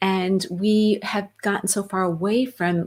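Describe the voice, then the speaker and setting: A woman speaks at medium pitch with ordinary pitch variation, somewhat breathy. The recording is very clean, with a silent background. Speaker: wellness talk show co-host. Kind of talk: casual chat. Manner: animated.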